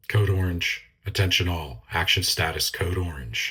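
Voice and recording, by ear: In a put-on robotic character voice, a man speaks at a moderate pace with a very deep, low pitch.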